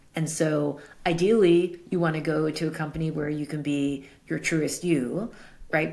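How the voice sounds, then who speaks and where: Intonation is fairly even. The voice carries an American accent. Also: woman. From US Northeast, Brooklyn, New York City. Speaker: tech executive and advisor. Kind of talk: interview. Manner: loud.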